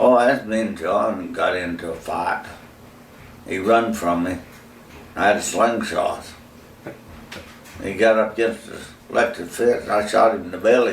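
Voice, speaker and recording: A man with an Appalachian accent at a moderate pace, with long, frequent pauses and noticeable background noise. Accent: rural Southern US, Appalachian. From North Carolina, USA. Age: old. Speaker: retired farm-raised man, father of the channel owner's husband. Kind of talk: interview answer, storytelling about childhood. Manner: casual, folksy, humorous.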